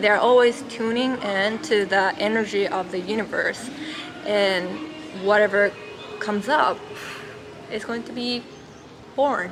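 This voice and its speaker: With music in the background and audible room echo, a woman with a Japanese accent speaks at a fairly slow pace and medium pitch with ordinary pitch variation and long, frequent pauses. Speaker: spiritual teacher. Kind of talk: vlog monologue. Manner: halting, many fillers.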